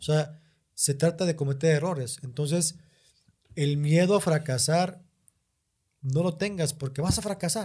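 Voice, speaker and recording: A man's fairly high-pitched voice, dark and mellow in tone, with ordinary pitch variation, a fairly slow pace and long, frequent pauses. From northern Mexico, Monterrey. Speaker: stand-up comedian. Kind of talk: casual chat.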